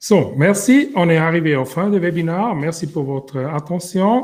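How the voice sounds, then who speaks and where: A man talks at a fairly slow pace with a non-native accent. His tone is dark and mellow, and his intonation is lively. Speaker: company founder and webinar host. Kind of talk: webinar closing remarks.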